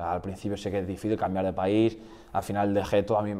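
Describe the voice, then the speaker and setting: Very fast and monotone, a man speaks with fairly low pitch and flat intonation. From Basque Country, Spain. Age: 20s. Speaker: futsal goalkeeper. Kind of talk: podcast interview. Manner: hesitant, repeats words.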